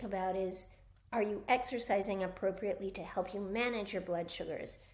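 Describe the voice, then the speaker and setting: A woman talks fairly quickly, and audible room echo follows her words. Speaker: physical therapist and wellness coach. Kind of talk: casual talk-to-camera health advice. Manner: casual, with fillers.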